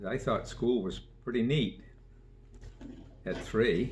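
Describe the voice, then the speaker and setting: A man speaks at medium pitch with vocal fry. His pace is fairly slow. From Maine (Sabattus area). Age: 80s+. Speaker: local elder interviewee. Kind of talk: oral history interview.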